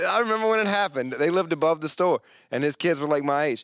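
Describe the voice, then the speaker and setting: A man speaks with a North Carolina accent. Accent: Southern US (North Carolina). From rural North Carolina (Yanceyville). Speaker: comedian. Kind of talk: casual podcast chat. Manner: animated.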